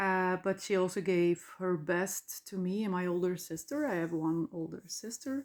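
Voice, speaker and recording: A woman speaks in a Dutch accent at a medium pitch. Her pace is very slow. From Flanders, Belgium. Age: 40s. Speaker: podcaster. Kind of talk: personal monologue. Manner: halting.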